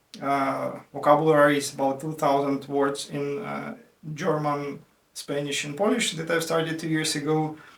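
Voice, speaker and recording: This man speaks at a moderate pace. Audible room echo surrounds his voice. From Ukraine, Dnipro. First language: Russian and Ukrainian. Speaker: IT worker and language learner. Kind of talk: casual explainer video. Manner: halting, many fillers.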